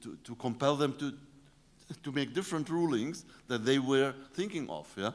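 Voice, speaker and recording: Lively intonation carries this speaker's Arabic accent on a very clean recording with a silent background. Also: man. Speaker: professor. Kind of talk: lecture. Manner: halting, many fillers.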